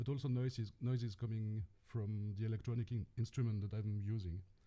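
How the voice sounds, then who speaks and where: In a French accent, a man speaks at medium pitch with a dark, mellow tone. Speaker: experimental electronic musician and sound artist. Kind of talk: self-introduction on a panel. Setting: video call from home studio.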